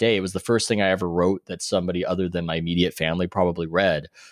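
A man with an American accent and a very deep, low pitch speaks at a very fast pace against a quiet background. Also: dry, close sound with no echo. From US West Coast, San Diego. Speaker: sports writer and author. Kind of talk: interview.

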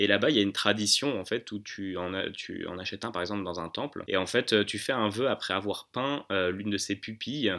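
A man talks at a fairly quick pace with a bright, sharp tone. His pitch is fairly low and varies in an ordinary way. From Paris region, France (Hauts-de-Seine). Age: 20s. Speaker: business school student. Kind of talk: casual interview. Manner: hesitant, many fillers.

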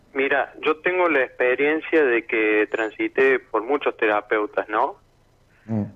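A man talks at a very slow pace with very even loudness and ordinary pitch variation. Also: medium pitch for a man. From Argentina, Córdoba. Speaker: caller. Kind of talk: personal testimony. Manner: halting.

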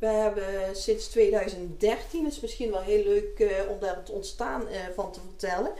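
A woman talks at a very slow pace with big swings in loudness. Audible room echo carries through the recording. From North Brabant (Deurne area), Netherlands. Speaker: business owner. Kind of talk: interview.

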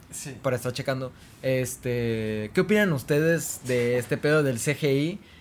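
A man's normal speaking voice, medium in pitch, at a fairly slow pace. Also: ordinary pitch variation. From Mexico, Tamaulipas. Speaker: podcast co-host. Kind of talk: casual chat.

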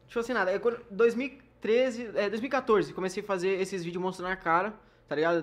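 A man's moderately paced speech, ordinary in pitch variation, against a quiet background. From Porto Alegre, southern Brazil. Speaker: YouTuber. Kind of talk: casual interview chat.

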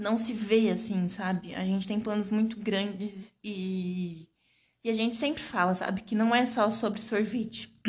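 The woman here sounds somewhat breathy. Her pace is fairly slow. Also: medium pitch for a woman, fairly even intonation. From Brazil, Santos (São Paulo state). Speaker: podcast host, small business owner. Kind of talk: casual chat.

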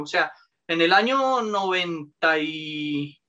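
A man's raised, projected voice with a bright, sharp tone and lively intonation. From Colombia, Bogotá. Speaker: lawyer. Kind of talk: casual interview.

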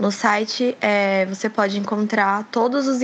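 This voice belongs to a woman with a medium pitch. She delivers her words with monotone, flat intonation. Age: 20s. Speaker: crisis line volunteer. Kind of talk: podcast interview.

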